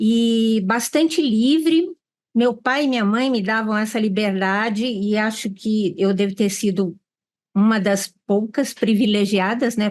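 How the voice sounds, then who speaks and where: The speaker has an unremarkable speaking voice with ordinary pitch variation. The background is quiet. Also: woman. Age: 60s. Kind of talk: panel discussion.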